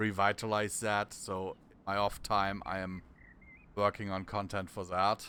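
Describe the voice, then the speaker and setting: Speaking at a fairly slow pace, a man has a bright, sharp tone and a monotone, flat intonation. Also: fairly low pitch for a man. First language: German. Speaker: gaming streamer. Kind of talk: live gameplay commentary. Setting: live stream. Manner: halting.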